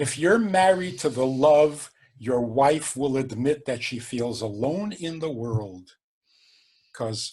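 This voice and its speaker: A man at medium pitch, somewhat breathy, with lively intonation, a very slow pace and long, frequent pauses. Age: 70s. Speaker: rabbi. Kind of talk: podcast interview.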